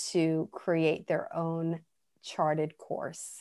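A woman's fairly low voice with an American accent, monotone and flat, at a very slow pace against a quiet background. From New York. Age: 50s. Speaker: promotional products business owner and mother. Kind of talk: interview, personal story.

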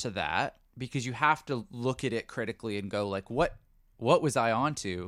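A man with a Canadian accent speaks at a moderate pace with lively intonation, on a very clean recording with a silent background. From Canada. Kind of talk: casual chat. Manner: easygoing.

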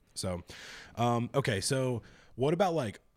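A man talks with lively intonation. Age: 20s. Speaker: podcast host. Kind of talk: casual chat. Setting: video call.

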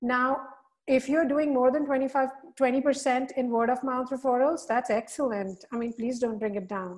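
Slow-ish, fairly even delivery from a woman with a high voice. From India. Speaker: digital marketing strategist. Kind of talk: webinar presentation. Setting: video call.

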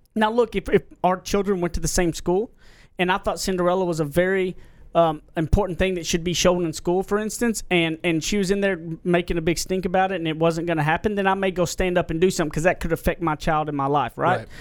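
In an American accent, the speaker goes at a very fast pace with fairly even intonation. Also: man, high pitch for a man. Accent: Southern US, self-described redneck voice. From Southern US. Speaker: podcast host.

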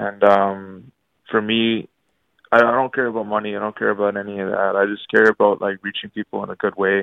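At a fairly quick pace, a man speaks with a fairly low pitch. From Canada (Ottawa). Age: 20s. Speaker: hip-hop artist. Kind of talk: radio interview. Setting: phone call.

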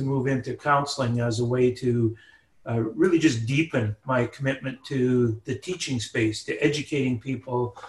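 Somewhat breathy and fairly even in intonation, a man with a Canadian accent speaks at a medium pitch and a moderate pace. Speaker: professor. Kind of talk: interview.

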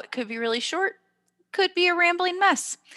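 A woman with an extremely high pitch speaks in a raised, projected voice with a bright, sharp tone. Her pace is moderate and her pitch swings very widely. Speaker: podcast host and teacher. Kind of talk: casual chat. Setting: video call.

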